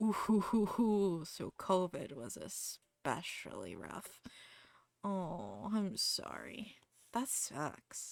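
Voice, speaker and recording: Speaking very slowly with an American accent, a woman has a relaxed tone and big swings in loudness. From US Midwest, Ohio. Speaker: streamer, artist. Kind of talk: casual livestream chat. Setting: home streaming setup with background music. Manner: relaxed, chatty.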